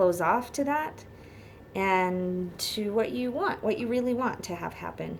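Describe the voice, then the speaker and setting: Delivery comes at a fairly slow pace with lively intonation. There is audible room echo. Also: woman, medium pitch for a woman. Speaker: tarot reader. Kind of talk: tarot reading. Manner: halting.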